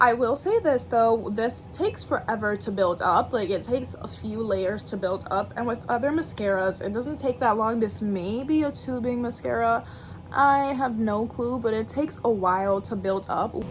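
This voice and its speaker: A woman talks at a moderate pace in a fairly high pitch, with hardly any pauses. Noticeable background noise is present. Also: ordinary pitch variation. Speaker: beauty vlogger. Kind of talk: makeup tutorial. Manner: casual, chatty.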